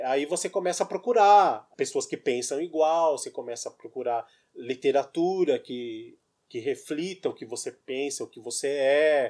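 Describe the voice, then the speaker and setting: On a very clean recording with a silent background, a man is heard talking. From Brazil, São Paulo. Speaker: writer. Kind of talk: casual chat.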